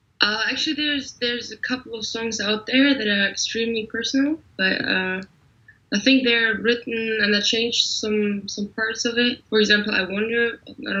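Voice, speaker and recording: A woman with a fairly high pitch and fairly even intonation speaks at a moderate pace over noticeable background noise. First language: German. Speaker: singer-songwriter. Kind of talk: interview. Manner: mumbling; halting.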